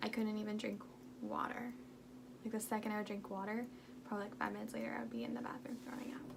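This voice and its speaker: Talking at a very fast pace broken by long, frequent pauses, a woman is heard with audible room echo and noticeable background noise. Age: 20s. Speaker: health vlogger. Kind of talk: storytime vlog. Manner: casual, filler-heavy.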